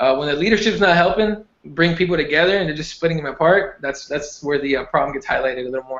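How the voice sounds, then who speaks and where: A man with a Spanish accent and a fairly high pitch talks at a very fast pace with hardly any pauses and ordinary pitch variation. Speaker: MMA podcast co-host. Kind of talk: casual chat.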